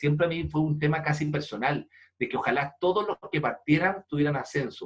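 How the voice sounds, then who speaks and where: A somewhat breathy, fairly high-pitched man's voice with a Chilean accent. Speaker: leadership speaker and foundation president. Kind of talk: interview. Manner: animated storytelling.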